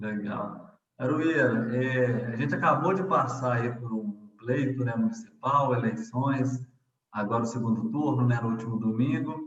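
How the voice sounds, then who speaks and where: A man speaks at a fairly slow pace in a medium pitch. He has an ordinary speaking voice with ordinary pitch variation. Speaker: interviewer. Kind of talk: interview questions.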